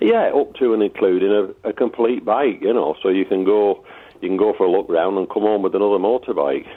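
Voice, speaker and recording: A man with a Lancashire accent talks at a fairly quick pace, his loudness staying very even throughout. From Lancashire, northern England. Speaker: motorbike enthusiast. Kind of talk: radio interview. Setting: phone call.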